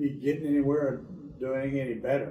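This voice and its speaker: The man's delivery is fairly quick. Room echo is audible around his voice. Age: 70s. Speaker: patient, sports coach. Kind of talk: testimony.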